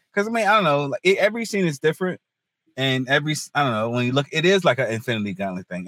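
Very wide pitch swings run through this very fast speech in a North Carolina accent, recorded dry and close with no echo on a silent, very clean background. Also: man. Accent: US South, North Carolina. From North Carolina, Hertford. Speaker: comedian. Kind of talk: casual chat.

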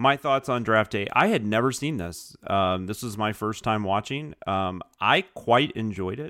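A man's ordinary speaking voice, fairly low in pitch, at a fairly slow pace with ordinary pitch variation. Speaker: podcast co-host and writer. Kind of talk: casual chat.

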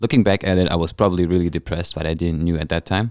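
In a German accent, a man talks very fast with a very deep, low pitch and fairly even intonation, the sound dry and close with no echo. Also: very clean recording, silent background. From Germany. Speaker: chef and jiu jitsu trainee. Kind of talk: casual chat.

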